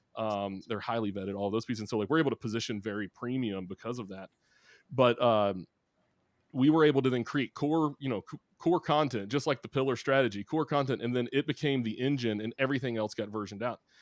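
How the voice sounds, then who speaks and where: In a Southern US accent, a man speaks at a very fast pace with medium pitch and ordinary pitch variation, the sound dry and close with no echo on a very clean recording with a silent background. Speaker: marketing executive. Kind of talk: interview. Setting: live podcast.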